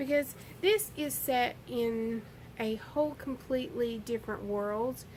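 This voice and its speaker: A fairly slow delivery in a Southern US accent. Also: woman, high pitch for a woman, ordinary pitch variation. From US South. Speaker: book vlogger. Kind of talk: casual book review monologue. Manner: rambling with hesitations.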